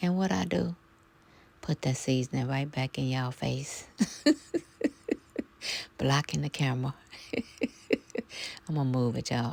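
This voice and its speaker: A woman speaks in a soft-spoken way. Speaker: home cook vlogger. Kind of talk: casual talk to camera, cooking vlog narration. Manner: soft-spoken, chatty, rambling.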